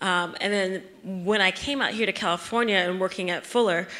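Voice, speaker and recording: A woman with an American accent speaks at a fairly quick pace, at medium pitch with fairly even intonation. Her tone is bright and sharp. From US Midwest. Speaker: seminary staff member and racial justice activist. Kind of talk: panel discussion. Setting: church forum with live audience. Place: hall. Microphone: handheld.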